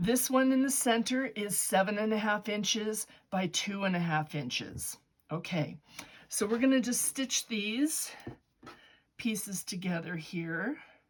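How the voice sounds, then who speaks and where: A woman speaks at a medium pitch with a somewhat breathy quality. Her intonation is lively and her pace fairly slow. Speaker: quilting teacher. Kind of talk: tutorial. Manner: casual, chatty.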